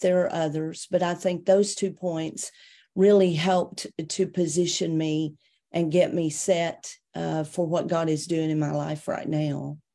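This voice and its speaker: With a Tennessee accent, a woman with a fairly low pitch and a dark, mellow tone speaks at a fairly slow pace with fairly even intonation on a very clean recording with a silent background. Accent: Southern US (Tennessee). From US South, Tennessee (near Chattanooga). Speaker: minister. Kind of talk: interview testimony.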